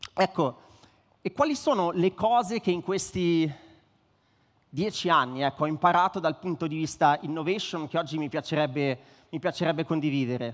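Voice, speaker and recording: A man talks at a moderate pace with a fairly high pitch and ordinary pitch variation. Long, frequent pauses break up his speech against a quiet background. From northern Italy, Varese; northern Italy. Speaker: startup co-founder, tech executive; speaker. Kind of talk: conference speech. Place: stage. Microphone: headset.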